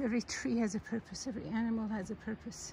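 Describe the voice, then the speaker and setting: A woman talks at a fairly quick pace with fairly even intonation. The sound is dry with no echo, over light background noise. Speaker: religious reflection narrator. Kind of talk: casual reflective talk, sermon-like. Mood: calm, reflective. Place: forest. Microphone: phone near.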